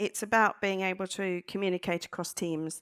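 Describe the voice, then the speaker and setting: A woman with an English accent speaks at a fairly slow pace. The recording is very clean with a silent background, dry and close with no echo. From England. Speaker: data analyst in ambulance service. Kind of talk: panel discussion.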